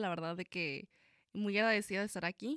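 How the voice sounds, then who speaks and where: A woman speaks at a fairly quick pace, recorded with a dry, close sound with no echo. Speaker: nursing student. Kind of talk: radio interview. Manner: halting.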